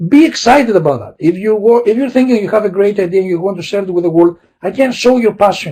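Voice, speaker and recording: Moving at a fairly quick pace, a man speaks in a dark, mellow tone with a high pitch and ordinary variation. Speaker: university lecturer. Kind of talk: webinar presentation. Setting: video call webinar. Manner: fast; hesitant with fillers.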